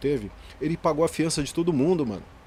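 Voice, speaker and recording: A man is speaking. His pace is very fast. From Greater São Paulo, Brazil. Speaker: graffiti artist and educator. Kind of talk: casual interview chat. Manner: soft-spoken.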